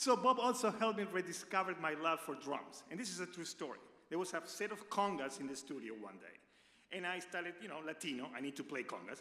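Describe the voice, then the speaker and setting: A man's high voice with an Argentine accent, fairly quick and lively, with hardly any pauses. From Argentina. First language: Spanish. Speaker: radio personality. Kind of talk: tribute speech. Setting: stage with audience.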